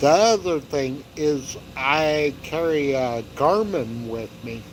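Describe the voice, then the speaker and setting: A man speaks over noticeable background noise. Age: 60s. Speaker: hiking YouTuber. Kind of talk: casual livestream chat. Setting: outdoors by a fire pit. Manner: relaxed.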